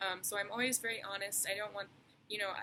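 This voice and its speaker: A woman speaks quietly. Her tone is bright and sharp. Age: 20s. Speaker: tattoo artist. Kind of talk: casual vlog monologue. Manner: hesitant, many fillers; quiet, reserved.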